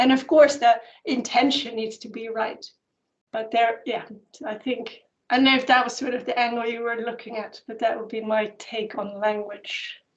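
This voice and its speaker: A woman with a Dutch accent speaks at a moderate pace, her fairly high voice keeping a fairly even intonation. Her loudness swings widely, and the room echo is audible. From Netherlands. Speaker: anthropologist and spiritual teacher. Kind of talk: Q&A answer at an online conference.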